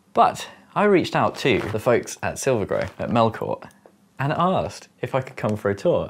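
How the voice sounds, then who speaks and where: Over light background noise, a man keeps a moderate pace. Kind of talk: casual vlog chat. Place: home room. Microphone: lapel.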